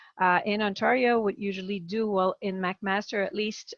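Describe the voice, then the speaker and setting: In a Quebec French accent, a woman of medium pitch speaks at a moderate pace with ordinary pitch variation. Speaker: palliative care physician. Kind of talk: webinar presentation. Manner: halting.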